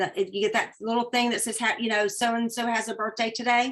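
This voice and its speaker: The speaker has a Southern US accent. The tone comes across bright and sharp. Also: woman. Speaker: direct sales businesswoman. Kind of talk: webinar training talk.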